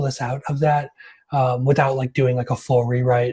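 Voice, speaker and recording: Somewhat breathy and fairly high, a man's voice moves at a fairly quick pace. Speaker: developer advocate. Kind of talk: technical talk. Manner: fast.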